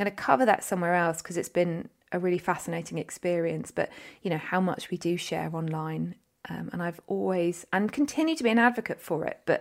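A woman speaks at a fairly quick pace in an unremarkable speaking voice, with fairly low pitch and ordinary pitch variation. The recording is very clean, with a silent background. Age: 40s. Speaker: podcast host and coach. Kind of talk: solo podcast monologue.

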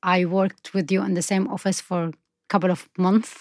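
A woman with an Arabic accent talks at a moderate pace and a medium pitch. The recording is very clean, with a silent background and a dry, close sound with no echo. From Syria. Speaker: documentary filmmaker. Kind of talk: interview.

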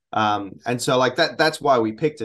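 With an Australian accent, a man speaks at a moderate pace and a medium pitch, with ordinary pitch variation over a quiet background. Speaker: metal musician. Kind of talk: interview. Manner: hesitant, many fillers.

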